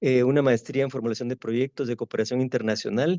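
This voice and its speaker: The voice has a dark, mellow tone. The sound is dry and close with no echo, against a quiet background. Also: man. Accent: Guatemalan. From Guatemala. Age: 60s. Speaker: architect and university professor. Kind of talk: interview. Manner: halting, with many fillers.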